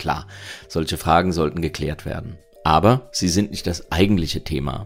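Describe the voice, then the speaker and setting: A man speaks in a very deep, low pitch. Music plays in the background. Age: 50s. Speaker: podcast host. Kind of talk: opinion commentary monologue.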